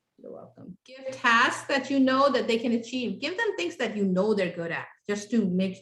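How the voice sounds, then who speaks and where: Speaking at a moderate pace with a non-native accent, a woman has a fairly high, somewhat breathy voice with ordinary pitch variation. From came to the US at age ten, grew up in Houston, Texas. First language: not English. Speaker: parenting class instructor. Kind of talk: interactive workshop class. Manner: conversational, with many fillers.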